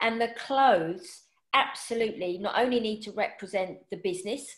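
This woman has a plain, everyday voice with a fairly high pitch. She keeps a moderate pace and ordinary pitch variation. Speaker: personal stylist and podcast host. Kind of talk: casual interview chat.

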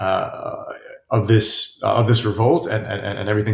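At a moderate pace, a man speaks at a medium pitch, somewhat breathy, with fairly even intonation. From upstate New York, US. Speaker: author and journalist. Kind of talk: interview. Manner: halting, many fillers and repetitions.

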